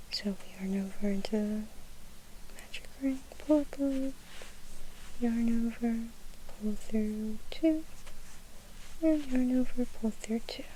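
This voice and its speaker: Someone whispers in a soft-spoken, calm tone at a very slow pace. Long, frequent pauses break up the speech. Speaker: ASMR crochet tutorial host. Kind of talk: ASMR crochet tutorial, step-by-step instruction. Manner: soft-spoken with whispers, calm, slow.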